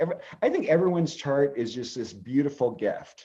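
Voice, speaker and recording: Lively intonation from a fairly high-pitched man with a West Coast US accent. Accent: General American (West Coast). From California. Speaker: astrologer. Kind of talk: interview. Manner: fast.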